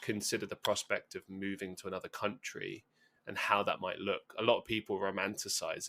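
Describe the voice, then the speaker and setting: A man speaks with a London accent. His pace is fairly quick. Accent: southern English (London). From London, England. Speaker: podcast guest, musician and content creator. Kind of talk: casual interview chat. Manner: fast.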